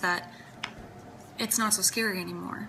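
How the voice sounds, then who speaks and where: A woman speaks at a medium pitch and a moderate pace. Noticeable background noise runs through the recording. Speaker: singer-songwriter vlogger. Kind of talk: personal vlog talk. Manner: hesitant with fillers.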